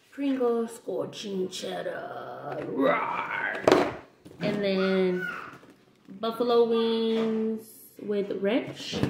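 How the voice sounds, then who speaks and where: Against loud background noise, a woman speaks at a very slow pace with long, frequent pauses and ordinary pitch variation. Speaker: snack reviewer vlogger. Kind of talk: casual vlog chat. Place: kitchen. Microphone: webcam.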